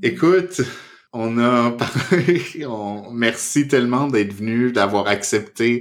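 A man with lively intonation at a very slow pace. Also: medium pitch for a man. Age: 30s. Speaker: psychotherapist and podcast host. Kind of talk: casual chat. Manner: halting.

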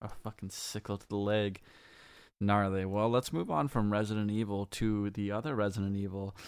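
On a very clean recording with a silent background, a man talks at a moderate pace with a fairly low pitch and a monotone, flat intonation. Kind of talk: casual chat.

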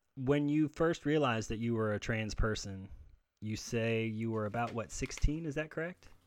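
Against a quiet background, a man with an ordinary speaking voice talks at a medium pitch and moderate pace, with ordinary pitch variation. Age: 30s. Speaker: podcast host. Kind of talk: casual interview.

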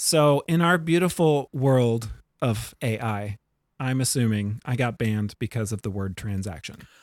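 On a very clean recording with a silent background, a man speaks in an ordinary speaking voice at a medium pitch. His delivery is fairly slow with lively intonation, and the sound is dry and close with no echo. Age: 40s. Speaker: podcast co-host and bartender. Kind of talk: casual chat.

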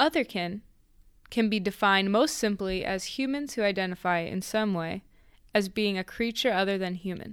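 A woman with a normal speaking voice at medium pitch and a moderate pace, on a very clean recording with a silent background. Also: ordinary pitch variation. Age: young. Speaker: podcast co-host. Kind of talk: casual chat.

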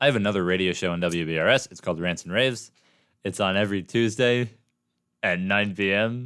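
A plain, everyday voice from a man with an American accent, fairly low in pitch, at a fairly quick pace, with ordinary pitch variation, big swings in loudness, and a very clean recording with a silent background. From Oregon. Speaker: college radio host. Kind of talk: casual chat. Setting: studio.

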